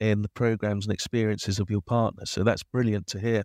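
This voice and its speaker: Recorded dry and close with no echo against a quiet background, a man speaks with a plain, everyday voice at a fairly low pitch. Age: 50s. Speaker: age inclusion advocate, organisation director. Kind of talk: podcast interview.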